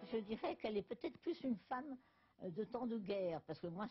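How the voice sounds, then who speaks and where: A somewhat breathy woman's voice with lively intonation at a moderate pace. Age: 80s+. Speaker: novelist. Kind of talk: interview answer.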